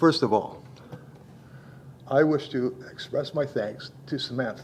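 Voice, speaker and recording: Somewhat breathy, a man speaks at a fairly slow pace with a fairly high pitch and ordinary pitch variation. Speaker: public delegate at municipal meeting. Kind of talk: public hearing address.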